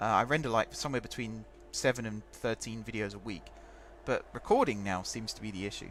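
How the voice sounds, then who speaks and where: A man talking at a very fast pace, music in the background. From England, home counties (Hertfordshire). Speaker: gaming streamer. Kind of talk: live game stream commentary. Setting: live stream. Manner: casual, conversational.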